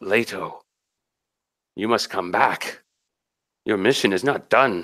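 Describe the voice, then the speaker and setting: A man uses a raspy, put-on character voice at a fairly low pitch. He talks at a fairly slow pace on a very clean recording with a silent background. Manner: muttering.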